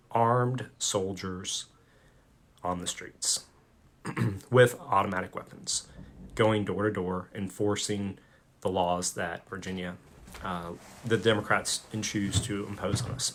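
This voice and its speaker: A man puts on a raspy character voice with a fairly low pitch. He goes at a fairly slow pace with long, frequent pauses. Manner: earnest, urgent.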